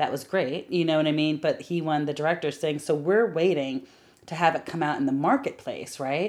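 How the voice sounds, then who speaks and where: A woman speaks with a very deep, low pitch and ordinary pitch variation in an animated tone at a fairly quick pace. The recording is very clean, with a silent background. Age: 40s. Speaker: film producer. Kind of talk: casual interview.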